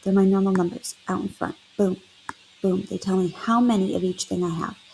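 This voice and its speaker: With music in the background, a woman speaks at a medium pitch and fairly even intonation, leaving long, frequent pauses. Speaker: math teacher. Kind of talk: tutorial. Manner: fast.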